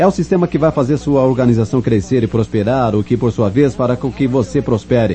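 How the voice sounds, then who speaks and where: Speaking at a fairly quick pace, a man with an English accent talks over noticeable background noise. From New York, the Bronx. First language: English (speaking Portuguese). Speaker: network marketing speaker, former detective. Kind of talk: motivational talk. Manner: animated.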